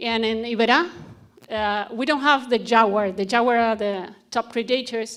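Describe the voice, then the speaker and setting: Using fairly even intonation and a fairly high pitch, a woman speaks at a moderate pace with a Spanish accent. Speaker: conservationist. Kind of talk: conference presentation. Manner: halting.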